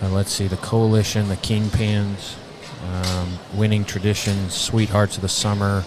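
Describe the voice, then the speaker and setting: Over noticeable background noise, a man with an American accent talks fairly slowly in a fairly low pitch with monotone, flat intonation. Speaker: livestock show commentator. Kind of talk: live commentary. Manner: halting, many fillers.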